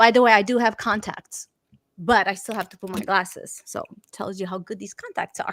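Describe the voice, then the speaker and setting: A woman's animated, medium-pitched voice in a Romanian accent, fairly quick in pace, with big swings in loudness and a dry, close sound with no echo. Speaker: talk show host. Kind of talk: online interview show.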